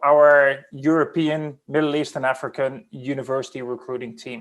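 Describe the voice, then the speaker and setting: A man with a fairly high voice delivers his words at a moderate speed. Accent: Dutch. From Netherlands. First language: Dutch. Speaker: recruiting team lead. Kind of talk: panel discussion.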